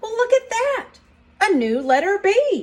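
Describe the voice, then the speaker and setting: Using a squeaky, put-on character voice, a woman speaks at an extremely high pitch and a fairly slow pace, with very wide pitch swings. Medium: read story. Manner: gentle, warm.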